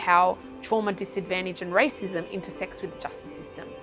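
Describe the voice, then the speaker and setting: A woman talks at a medium pitch while music plays in the background. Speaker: CEO and founder of community organisation. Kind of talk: interview answer.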